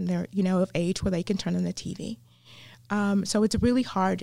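A woman with an American accent talks at a fairly quick pace and medium pitch, in a dark, mellow tone. The recording is very clean, with a silent background. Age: 50s. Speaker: chaplain and women's ministry leader. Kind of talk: casual interview.

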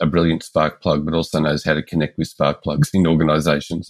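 A man speaks with a very deep, low voice and an Australian accent. His delivery is flat and monotone at a moderate pace. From Melbourne, Australia. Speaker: engagement expert and consultant. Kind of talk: interview conversation.

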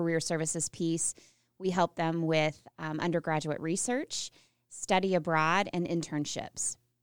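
An unremarkable speaking voice from a woman, fairly low in pitch, with an American accent. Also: very clean recording, silent background. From US Midwest (rural northern Missouri). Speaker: university career services director. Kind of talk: interview.

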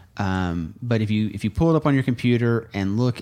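This is a normal speaking voice with an American accent. The pitch varies in an ordinary way. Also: man. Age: 30s. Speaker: lawyer and think tank podcast co-host. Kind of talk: casual chat.

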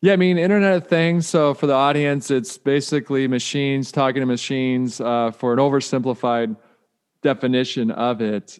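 A man's unremarkable speaking voice in an American accent, medium in pitch, at a fairly quick pace with ordinary pitch variation. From US Midwest, Detroit. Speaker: author and keynote speaker. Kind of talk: podcast interview.

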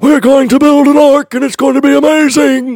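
In a put-on character voice, a man talks at a moderate pace with an extremely high pitch. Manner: excited, giddy.

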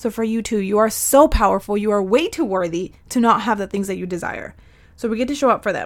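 Delivered at a very fast pace, the speech has an animated tone and ordinary pitch variation. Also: woman, fairly high pitch for a woman. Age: 30s. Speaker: podcast host and soul mentor. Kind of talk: pep talk. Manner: warm and emphatic.

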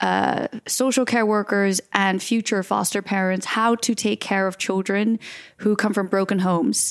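Speaking with an American accent, a woman keeps a medium pitch, a moderate pace and fairly even intonation. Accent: American-sounding. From grew up in nine different countries, Dutch adoptee. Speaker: filmmaker and XR producer. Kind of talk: interview.

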